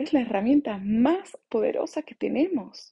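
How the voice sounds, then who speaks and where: Her voice is high-pitched with a dark, mellow tone, and this woman speaks fairly slowly with lively intonation. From Bolivia (born in La Paz, moved around the world). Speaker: podcast host, mindfulness coach. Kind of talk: reflective monologue.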